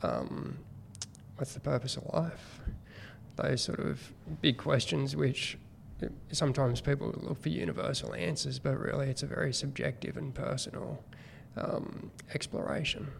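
With an Australian accent, a man speaks at a moderate pace, leaving long, frequent pauses. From New South Wales, Australia. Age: 40s. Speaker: guest, former teacher turned business person. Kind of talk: casual interview.

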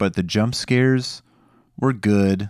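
Recorded very cleanly against a silent background, a normal speaking voice carries lively intonation in a dry, close sound with no echo. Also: man. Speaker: podcast host. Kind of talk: casual chat.

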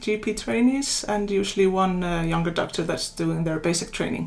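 A woman speaks with an Icelandic accent. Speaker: general practitioner. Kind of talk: interview.

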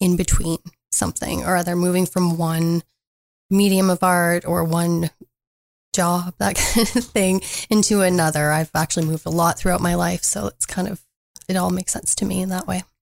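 A woman with a Canadian accent, fairly low in pitch, in an unremarkable speaking voice at a moderate pace, with a dry, close sound and no echo. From northern Ontario, Canada. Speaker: artist. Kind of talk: radio interview. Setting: studio.

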